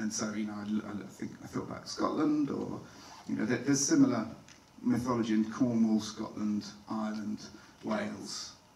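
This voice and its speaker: Over light background noise and audible room echo, a man talks at a moderate pace with fairly low pitch and fairly even intonation. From not Irish. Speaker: film director; guest. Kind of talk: Q&A panel talk with slides; panel Q&A answer. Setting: stage with audience. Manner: halting, with many fillers. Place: hall. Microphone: handheld.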